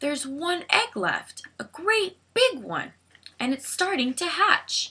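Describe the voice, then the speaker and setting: Using a put-on character voice, a woman talks fairly slowly at an extremely high pitch. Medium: read story.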